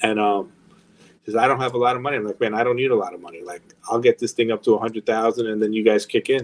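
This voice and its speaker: With a New York accent, a man of medium pitch speaks at a very fast pace in monotone, flat intonation, though his loudness swings widely. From New York, Long Island. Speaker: record label executive. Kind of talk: interview.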